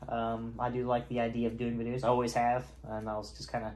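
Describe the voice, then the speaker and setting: A man speaks with a slight Southern accent. Audible room echo surrounds his voice. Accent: slight southern twang. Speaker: YouTuber and college student. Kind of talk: casual vlog monologue. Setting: home, on camera in robe. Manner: halting, many fillers.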